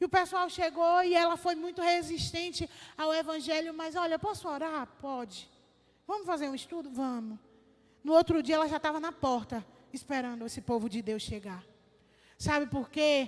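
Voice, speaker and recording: A woman's extremely high-pitched voice with lively intonation. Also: moderate pace. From Brazil, sertão of Bahia. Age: 20s. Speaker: missionary. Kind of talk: sermon testimony. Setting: church service.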